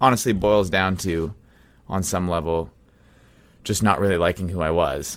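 A man with a very deep, low pitch speaks in a Canadian accent at a moderate pace, with ordinary pitch variation. He leaves long, frequent pauses, and the recording is very clean with a silent background. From Canada, Manitoba (Brandon). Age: young. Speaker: musician. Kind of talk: interview.

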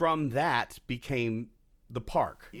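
On a very clean recording with a silent background, a man with an American accent speaks in a normal speaking voice at a medium pitch, with lively intonation. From Texas. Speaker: tour guide and voiceover actor. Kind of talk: casual interview chat.

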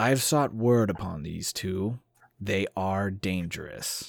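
A man speaks in a put-on character voice. His pitch sits fairly low. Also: fairly slow pace. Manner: slow, almost inaudible.

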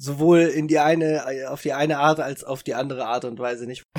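Here is a plain, everyday voice at a moderate pace. Its intonation is fairly even. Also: man. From northern Germany, Italian parents. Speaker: podcast co-host. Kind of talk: casual chat.

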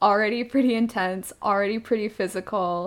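In a plain, everyday voice, a woman speaks at a medium pitch with fairly even intonation. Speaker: podcast co-host. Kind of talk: casual chat.

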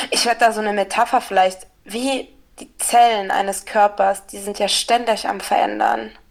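A woman's voice at a medium pitch shows vocal fry and fairly even intonation, with big swings in loudness. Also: moderate pace. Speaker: podcast co-host. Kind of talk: casual chat. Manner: halting, many filler sounds.

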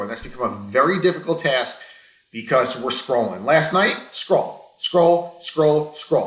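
An ordinary speaking voice with an American accent, moderate pace and lively intonation. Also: man. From US East Coast. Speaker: podcast co-host. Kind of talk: casual chat.

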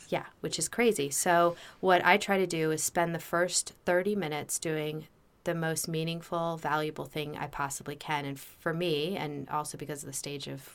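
The speaker has an American accent, a moderate pace and fairly even intonation. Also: woman. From New Jersey and Maryland, US. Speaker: happiness researcher and author. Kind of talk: interview.

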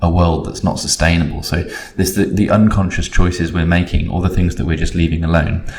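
With an English accent, a man speaks in a very deep, low pitch. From Britain. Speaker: creative agency consultant. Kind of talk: casual interview. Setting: office.

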